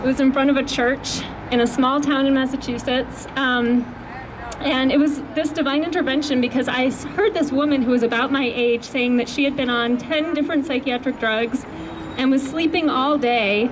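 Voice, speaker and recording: Amid noticeable background noise and audible room echo, a woman with a high pitch speaks at a moderate pace with very even loudness. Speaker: mental health activist. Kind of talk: rally speech. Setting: outdoors at a rally with microphone.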